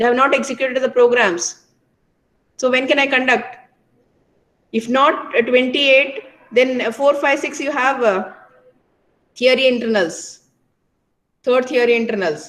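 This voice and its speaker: A woman with a high pitch speaks at a moderate pace. Her pitch varies in an ordinary way, and she takes long, frequent pauses. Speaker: college lecturer. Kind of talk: online class talk to students. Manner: hesitant with fillers; raised, scolding.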